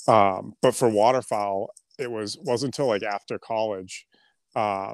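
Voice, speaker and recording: Recorded very cleanly over a silent background with a dry, close sound and no echo, a man with an unremarkable speaking voice talks at a fairly low pitch, a moderate pace and fairly even intonation. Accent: American. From Boston, then central New Hampshire. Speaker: clothing brand founder and duck hunter. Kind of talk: casual chat.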